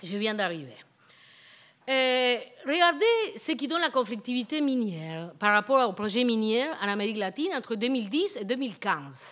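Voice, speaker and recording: A woman with a Spanish accent talks at a moderate pace in a high pitch, her voice making very wide pitch swings. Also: quiet background. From Argentina. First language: Spanish (speaking French). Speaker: professor; guest lecturer. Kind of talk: lecture. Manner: halting, many hesitations and repetitions. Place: hall. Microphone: podium.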